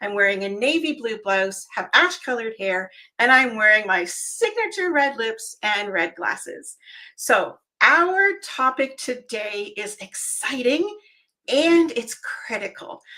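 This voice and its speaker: A woman speaks fairly slowly with a high pitch. Her tone is animated, with very wide pitch swings. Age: 60s. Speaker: event planning show host. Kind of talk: video show introduction. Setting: home office.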